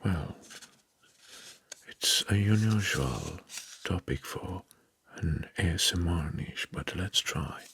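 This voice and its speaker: Soft-spoken and whispering, the voice moves at a very slow pace with long, frequent pauses. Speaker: ASMR creator. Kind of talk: ASMR whisper.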